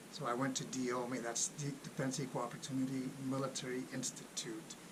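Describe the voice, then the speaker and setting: A man with a Spanish accent talks at a fairly quick pace and medium pitch, with noticeable background noise and audible room echo. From Los Angeles, California. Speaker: Air Force civilian employee, military finance YouTuber. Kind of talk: casual vlog announcement.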